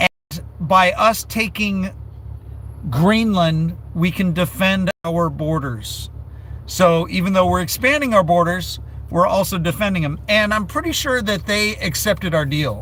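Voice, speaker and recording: With an American accent, a man speaks at a fairly slow pace. His pitch is high and his intonation lively. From United States. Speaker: livestreamer. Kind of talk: casual live-stream chat.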